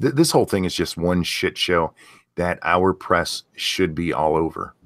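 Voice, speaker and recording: A man's very deep, low voice at a fairly slow pace, with a dry, close sound, no echo, and a very clean recording with a silent background. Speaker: political commentary youtuber. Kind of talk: casual political discussion. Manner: halting, trips over words.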